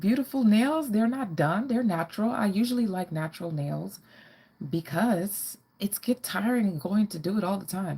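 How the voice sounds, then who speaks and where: The voice has a dark, mellow tone and is somewhat breathy. Its intonation is lively, and the pace is moderate. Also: woman, medium pitch for a woman. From Caribbean, moved to US as a child. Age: 40s. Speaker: fashion and lifestyle vlogger. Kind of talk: live-stream Q&A chat. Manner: casual, hesitant with fillers.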